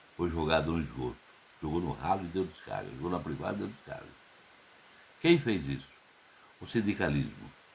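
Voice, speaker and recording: A man's very deep, low voice with vocal fry, ordinary pitch variation, a fairly quick pace and long, frequent pauses. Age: 70s. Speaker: political commentator. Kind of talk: open letter monologue.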